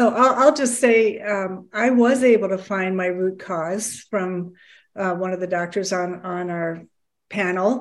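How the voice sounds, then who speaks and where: A woman's ordinary speaking voice, medium in pitch, at a fairly slow pace. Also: ordinary pitch variation. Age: 60s. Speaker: program participant. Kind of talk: testimony.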